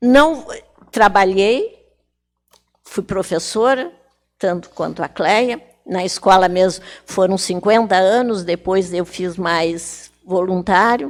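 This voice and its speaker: At a very slow pace with long, frequent pauses, a woman speaks at a medium pitch with ordinary pitch variation. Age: 80s+. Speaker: retired teacher and writer. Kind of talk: TV talk show interview.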